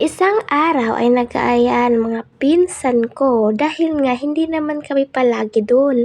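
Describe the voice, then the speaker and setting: A woman's high-pitched voice at a fairly slow pace, very even in loudness, with ordinary pitch variation and noticeable background noise. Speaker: amateur animator and narrator. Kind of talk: personal horror story narration with acted dialogue. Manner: inexperienced, amateur narration.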